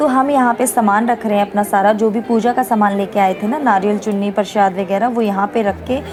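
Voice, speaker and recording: A woman with medium pitch speaks at a moderate pace and with fairly even intonation, with audible room echo and crowd noise in the background. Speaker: family vlogger. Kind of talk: casual vlog narration.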